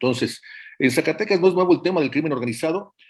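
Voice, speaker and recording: The recording is very clean with total background silence, and the intonation rises and falls in a lively way. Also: man. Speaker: journalist and book author. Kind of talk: interview. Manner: halting, many fillers.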